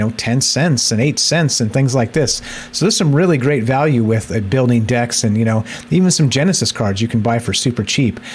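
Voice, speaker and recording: A man with a medium pitch speaks at a fairly quick pace with ordinary pitch variation. There is noticeable background noise. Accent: American. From United States. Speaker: crypto gaming youtuber. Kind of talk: casual tutorial video. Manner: casual, with fillers and repetitions.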